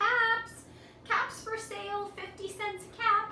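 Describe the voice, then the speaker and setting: A woman's squeaky, put-on character voice at an extremely high pitch, fairly slow and in a monotone, flat intonation, with slight echo and clear background noise. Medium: read story. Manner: calling out, exasperated.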